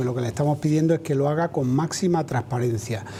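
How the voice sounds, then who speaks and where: Very fast speech from a man with ordinary pitch variation, set against noticeable background noise. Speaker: trade union president. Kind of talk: TV interview answer.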